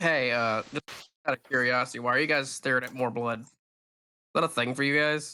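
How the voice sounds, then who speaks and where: A man puts on a raspy character voice at a medium pitch. He keeps a fairly quick pace and fairly even intonation. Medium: actual play. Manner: blunt, cheeky.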